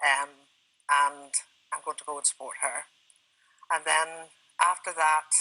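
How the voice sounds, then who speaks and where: At a fairly slow pace, a woman with a very deep, low pitch and a bright, sharp tone speaks in a monotone, flat intonation, with big swings in loudness and long, frequent pauses. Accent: Irish. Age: 60s. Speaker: retired traveller with Parkinson's, TV guest. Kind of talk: TV interview. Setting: TV studio.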